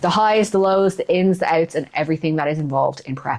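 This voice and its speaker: A woman speaks at a fairly quick pace in a fairly low pitch. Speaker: fitness coach and bodybuilder. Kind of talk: vlog. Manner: low energy.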